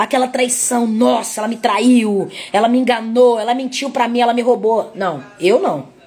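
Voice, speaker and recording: Over noticeable background noise, a woman speaks at a high pitch and a fairly slow pace. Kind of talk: sermon. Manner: repetitive, halting.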